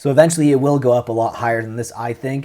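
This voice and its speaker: A man speaks at a fairly quick pace. His tone is dark and mellow, with ordinary pitch variation. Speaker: Pokemon card collector YouTuber. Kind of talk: casual market commentary.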